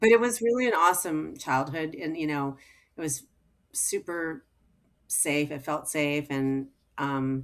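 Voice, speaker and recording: Speaking at a fairly slow pace with long, frequent pauses, a woman with an American accent has a very deep, low pitch, captured in a very clean recording with a silent background. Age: 60s. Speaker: physician, gynecologist. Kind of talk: casual podcast interview. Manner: animated, filler-heavy speech.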